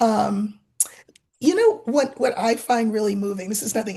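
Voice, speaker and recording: A woman with an American accent: an ordinary speaking voice, fairly high in pitch, with lively intonation at a moderate pace. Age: 60s. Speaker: card reader channel host. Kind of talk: casual chat.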